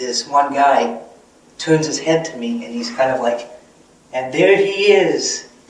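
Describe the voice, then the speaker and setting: Very slow male speech with ordinary pitch variation, noticeable background noise and audible room echo. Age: 30s. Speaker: vlogger. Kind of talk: personal vlog monologue. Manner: hesitant, many fillers.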